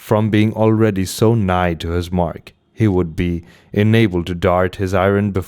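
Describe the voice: The intonation stays fairly even throughout this plain reading aloud.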